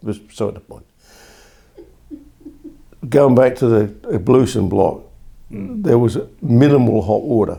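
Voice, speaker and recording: A man's dark, mellow voice with vocal fry and lively intonation. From England. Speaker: war-era army veteran recalling youth. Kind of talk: oral history interview answer.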